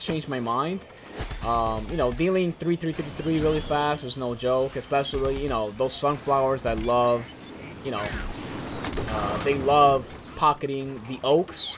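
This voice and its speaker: Moderate pace against noticeable background noise. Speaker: gaming YouTuber. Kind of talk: post-commentated gameplay commentary. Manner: casual with many fillers.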